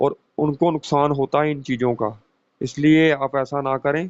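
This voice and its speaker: A man's fairly high-pitched voice in a flat monotone. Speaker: occult mantra teacher. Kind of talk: spoken tutorial.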